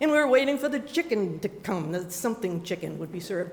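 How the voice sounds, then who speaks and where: Amid noticeable background noise, a woman speaks at a medium pitch with lively intonation. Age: 70s. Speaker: storyteller. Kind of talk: storytelling. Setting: stage with audience.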